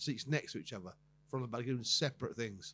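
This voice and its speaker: Talking at a very fast clip, a man sounds somewhat breathy. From southern England. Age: 60s. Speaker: comedian. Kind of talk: casual chat. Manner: halting.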